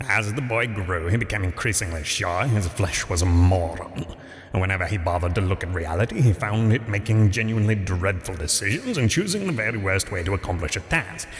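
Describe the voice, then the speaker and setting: Over noticeable background noise, a man with a fairly low pitch talks at a fairly quick pace with hardly any pauses. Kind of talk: dry comic storytelling. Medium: solo performance. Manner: dry, wry.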